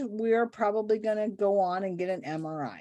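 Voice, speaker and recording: A woman with a plain, everyday voice speaks at a fairly slow pace with fairly high pitch and ordinary pitch variation, on a very clean recording with a silent background. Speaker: nurse practitioner podcast co-host. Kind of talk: casual clinical case discussion.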